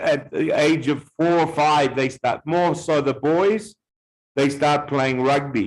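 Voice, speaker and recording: A man with a New Zealand accent speaks very slowly in a fairly high pitch, with ordinary pitch variation. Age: 40s. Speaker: visitor talking with language learners. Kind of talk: casual conversation practice. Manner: halting, many fillers; slow, simple wording for learners.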